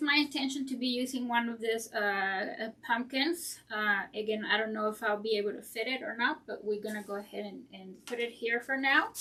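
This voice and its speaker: With a non-native accent, a woman speaks at a moderate pace and fairly high pitch in a bright, sharp tone, with ordinary pitch variation, big swings in loudness and hardly any pauses. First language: not English. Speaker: floral designer, craft channel host. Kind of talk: tutorial. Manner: hesitant, many fillers.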